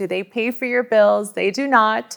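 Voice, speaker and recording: A woman at medium pitch in an ordinary speaking voice, with a Canadian accent and ordinary pitch variation. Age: 30s. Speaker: daughter in interview. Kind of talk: interview.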